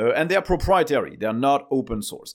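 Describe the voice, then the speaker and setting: A man speaks with a French accent at a fairly quick pace, his pitch swinging very widely. The recording is very clean, with a silent background. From France. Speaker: tech news podcast host. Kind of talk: solo news commentary. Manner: casual, frequent filler uh.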